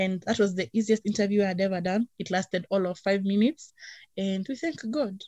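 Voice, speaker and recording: A woman speaks at a fairly quick pace in a medium pitch, her tone dark and mellow and somewhat breathy. The recording is very clean, with a silent background. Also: ordinary pitch variation, dry, close sound with no echo. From Kenya (Nairobi). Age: 20s. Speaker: singer and creative freelancer. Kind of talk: casual chat.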